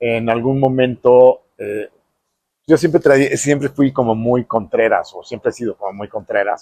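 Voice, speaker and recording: A medium-pitched man's voice with a dry, close sound and no echo. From Mexico. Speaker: architect. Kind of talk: interview storytelling. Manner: hesitant fillers.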